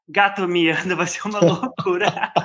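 A man speaks at a fairly slow pace. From São Paulo, Brazil. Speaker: podcast host. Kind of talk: casual chat.

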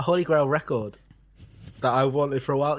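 A fairly high-pitched man with a British accent at a very fast pace, over a quiet background. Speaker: podcast host. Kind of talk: casual chat.

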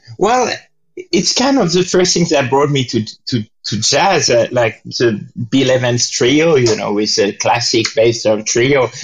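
A fairly slow pace and lively intonation in a French accent. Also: man, medium pitch for a man. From France. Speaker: jazz pianist and composer. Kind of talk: interview. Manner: halting.

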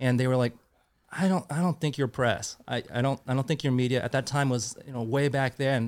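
On a very clean recording with a silent background, a man of medium pitch speaks in a Californian accent at a fairly quick pace with fairly even intonation. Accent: Californian American. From Northern California, South Bay. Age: 40s. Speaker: fishing tackle review site founder. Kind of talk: casual interview.

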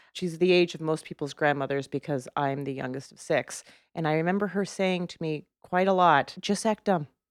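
On a very clean recording with a silent background and a dry, close sound with no echo, a woman speaks at a moderate pace in a fairly low pitch with ordinary pitch variation. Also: big swings in loudness. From Canada. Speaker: comedian and trivia show host. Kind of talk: casual chat. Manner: animated.

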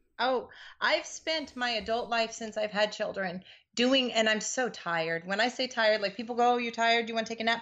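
A woman speaks with an American accent at a fairly quick pace. Her voice is fairly high, with ordinary pitch variation. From US Pacific Northwest, Seattle. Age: 40s. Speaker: blogger. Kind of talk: casual chat.

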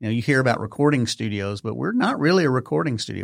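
Recorded very cleanly against a silent background, a man speaks with a Texas accent in a dry, close sound with no echo. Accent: Texas twang. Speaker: podcast production company owner. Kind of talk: casual interview chat. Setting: studio.

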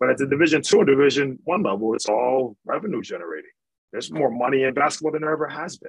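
A man with an American accent speaks at a very fast pace and fairly high pitch, with lively intonation and big swings in loudness. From Michigan. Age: 30s. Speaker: basketball coach. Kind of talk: casual chat.

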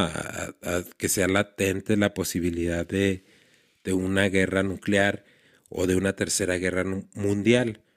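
In a very clean recording with a silent background, a man with a Mexican accent speaks in a very deep, low pitch. His pace is fairly slow and his intonation fairly even. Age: 40s. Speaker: podcast host. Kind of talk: casual commentary monologue. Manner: halting, frequent repetitions and fillers.

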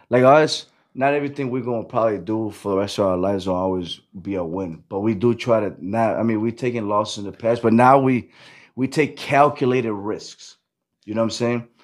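A man's medium-pitched voice with an American accent, ordinary pitch variation and a normal speaking voice. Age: 30s. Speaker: event promoter. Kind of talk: casual chat.

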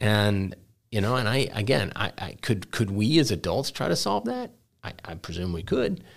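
In a very clean recording with a silent background, a man with an American accent uses a normal speaking voice, fairly low in pitch, with lively intonation. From Texas, Dallas. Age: 50s. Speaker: head of school. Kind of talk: interview.

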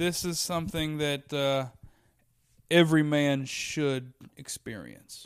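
Speaking fairly slowly with an American accent, a man keeps a fairly high pitch and fairly even intonation. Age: 20s. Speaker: stand-up comedian. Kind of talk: casual chat. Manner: distinctive cadence.

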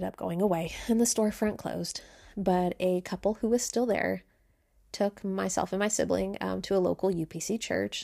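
In a very clean recording with a silent background, a woman uses an ordinary speaking voice at medium pitch and a moderate pace. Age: 30s. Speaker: podcast host. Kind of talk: personal storytelling monologue.

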